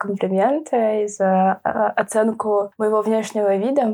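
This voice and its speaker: The woman's voice sits at a medium pitch with a dark, mellow tone. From Moscow, Russia. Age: 20s. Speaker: blind guide dog owner. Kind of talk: casual interview.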